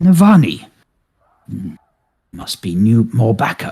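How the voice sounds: A man in a put-on character voice at medium pitch, with very wide pitch swings and a fairly slow pace.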